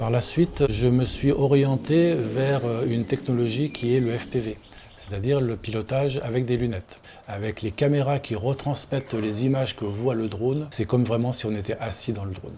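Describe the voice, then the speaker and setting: There is noticeable background noise as a man speaks at a moderate pace. His voice sits at medium pitch with ordinary pitch variation. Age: 60s. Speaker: engineer and drone builder. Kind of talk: interview testimony.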